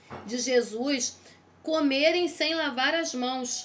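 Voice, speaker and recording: Audible room echo surrounds the voice. Its pitch shows ordinary variation. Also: woman. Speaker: theology teacher. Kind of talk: lecture. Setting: recorded video lesson.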